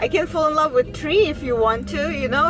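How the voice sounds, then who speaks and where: A woman speaks in a Russian accent. Audible room echo and noticeable background noise surround her. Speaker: vlogger. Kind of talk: casual monologue vlog. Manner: halting, many fillers.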